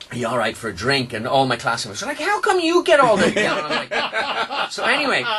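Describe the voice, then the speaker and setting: A man with an Irish accent at a very fast pace with hardly any pauses, over noticeable background noise. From Ireland. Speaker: radio host. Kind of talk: radio interview chat. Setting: radio studio.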